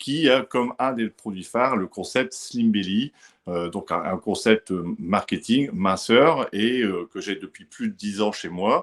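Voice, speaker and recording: A man with a northern French accent at a very slow pace, ordinary pitch variation, and a dry, close sound with no echo. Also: medium pitch for a man. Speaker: gym owner and fitness consultant. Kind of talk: webinar presentation.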